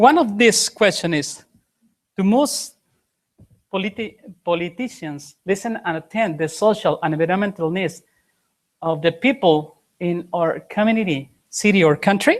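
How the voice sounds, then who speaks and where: A woman with a Spanish accent speaks at medium pitch and a moderate pace, her intonation lively and broken by long, frequent pauses. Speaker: conference presenter. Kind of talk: conference presentation. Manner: halting.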